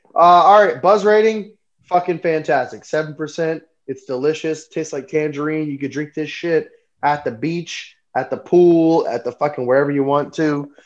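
A man with an American accent talks at a moderate pace. His voice sits fairly high, with ordinary pitch variation. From US South. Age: 30s. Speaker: podcast host. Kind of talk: casual chat. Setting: live stream. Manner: animated.

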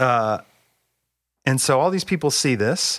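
A man speaks with a West Coast US accent. The recording is very clean, with a silent background. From US Pacific Northwest (Bellingham, Washington). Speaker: seminary professor. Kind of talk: casual theological conversation.

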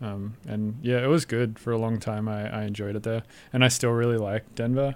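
A man speaks fairly quickly in an Australian accent, his pitch medium and his intonation flat and monotone. The recording is very clean, with a silent background. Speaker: electronic musician. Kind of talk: casual interview chat. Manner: halting, many fillers.

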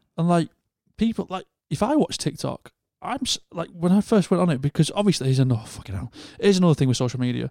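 A man's high, dark, mellow voice with a northern English accent, very wide pitch swings and a very fast pace, in a dry, close sound with no echo. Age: 30s. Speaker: podcast host. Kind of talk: casual chat.

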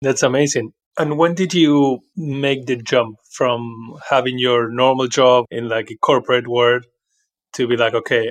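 A man speaks with a normal speaking voice at a medium pitch. His pace is moderate and his intonation fairly even. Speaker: podcast co-host. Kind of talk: interview.

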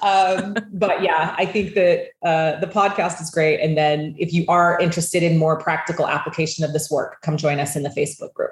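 A woman with an American accent talks at a moderate pace with hardly any pauses. Her voice is fairly low and somewhat breathy, with fairly even intonation. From US West (southern Idaho and Utah). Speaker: wealth coach and entrepreneur. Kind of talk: interview conversation.

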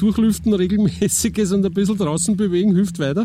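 This man talks at a fairly quick pace. His pitch is high. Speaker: podcast host and journalist. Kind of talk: casual interview chat; scripted narration.

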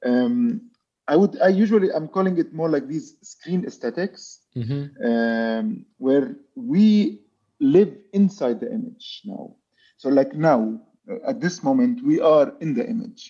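Speaking fairly slowly with an Arabic accent, a man uses a high voice with a dark, mellow tone and very wide pitch swings. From Palestine. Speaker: architect and visual artist. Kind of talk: interview. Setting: video call. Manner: halting.

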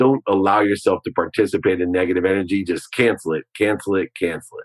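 A man with an animated tone at a fairly quick pace. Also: dry, close sound with no echo. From Ohio. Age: 50s. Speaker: business executive and author. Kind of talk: interview conversation.

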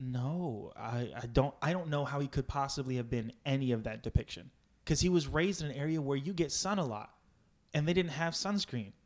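An ordinary speaking voice from a man, fairly high in pitch, with ordinary pitch variation, on a very clean recording with a silent background. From Virginia, US. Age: 20s. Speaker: improv comedian. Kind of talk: casual interview chat.

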